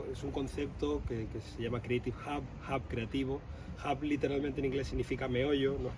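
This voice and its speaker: A man's voice against noticeable background noise. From southern Spain (Andalusia). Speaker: architect, co-founder of a creative hub. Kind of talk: interview. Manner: hesitant fillers, repeats words.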